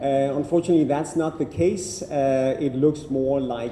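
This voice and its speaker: In a Danish accent, a man speaks at a medium pitch. Audible room echo surrounds his voice. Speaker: happiness researcher, keynote speaker. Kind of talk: keynote talk. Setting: university lecture room with audience. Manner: halting with repetitions.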